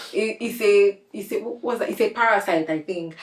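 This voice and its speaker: A woman's medium-pitched voice with noticeable background noise. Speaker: podcast host. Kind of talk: casual interview chat.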